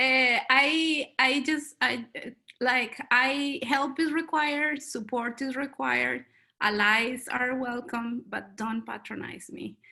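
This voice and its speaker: In a Colombian accent, a woman speaks at a very slow pace with a high pitch and fairly even intonation. Her voice is raised and projected, with a bright, sharp tone. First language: Spanish. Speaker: panelist. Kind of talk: panel discussion.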